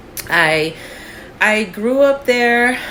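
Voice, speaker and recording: A woman with an American accent talks against noticeable background noise. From New Jersey (Union City, near Manhattan). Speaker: podcast co-host. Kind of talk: casual chat.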